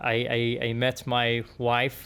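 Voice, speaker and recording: A man with an Arabic accent speaks at a medium pitch. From Yemen. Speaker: engineer. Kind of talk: podcast interview. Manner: halting, many fillers and repeats.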